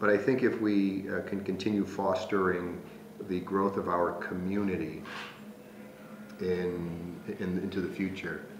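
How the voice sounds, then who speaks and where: A man's very deep, low voice, flat and monotone, at a fairly slow pace with long, frequent pauses, audible room echo and noticeable background noise. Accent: American. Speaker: Jesuit priest and school president. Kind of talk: interview. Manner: hesitant, many fillers.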